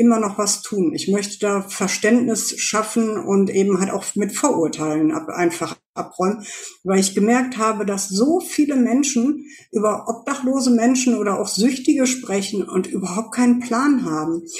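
Delivered at a moderate pace, this somewhat breathy voice rises and falls with ordinary pitch variation. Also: woman. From Germany, Ruhr area (Essen). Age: 40s. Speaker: former homeless person, volunteer. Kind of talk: testimony.

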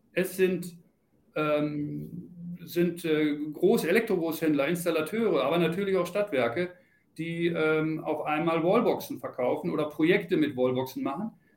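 A northern German accent at a very slow pace, with ordinary pitch variation. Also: man, high pitch for a man. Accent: northern German, still audible. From Lower Saxony, Celle. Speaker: charging industry manager. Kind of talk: interview.

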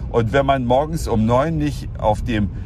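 Background music accompanies a man's voice. Audible room echo surrounds him. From Saxony, eastern Germany. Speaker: podcaster. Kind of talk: solo podcast monologue.

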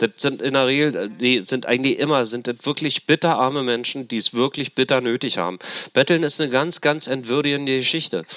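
This man's medium-pitched voice has a bright, sharp tone and moves at a fairly quick pace, recorded with a dry, close sound and no echo. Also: ordinary pitch variation. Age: 50s. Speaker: formerly homeless man, street worker. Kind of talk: interview testimony.

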